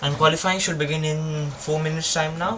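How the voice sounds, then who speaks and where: A man speaks at a fairly quick pace, fairly high for a man. Background noise is noticeable. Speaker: F1 watchalong streamer. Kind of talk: live commentary. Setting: live stream. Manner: halting, fumbling.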